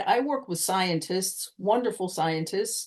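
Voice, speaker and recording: A woman's normal speaking voice at medium pitch, with an American accent, at a moderate pace. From United States. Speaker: communication coach. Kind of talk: podcast interview answer.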